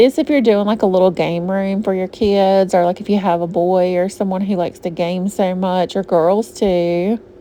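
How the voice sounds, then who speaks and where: A woman in a Southern US accent, with fairly even intonation. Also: medium pitch for a woman, moderate pace, hardly any pauses. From US South, Georgia. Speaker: shopping vlogger. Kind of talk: casual shop-with-me vlog narration. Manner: chatty, casual.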